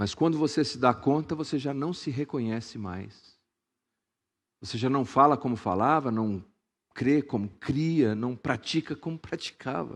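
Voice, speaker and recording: Over a quiet background, a man with a medium pitch speaks at a fairly slow pace in an animated tone, with ordinary pitch variation. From Brazil, Suzano (São Paulo state). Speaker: pastor. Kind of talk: sermon.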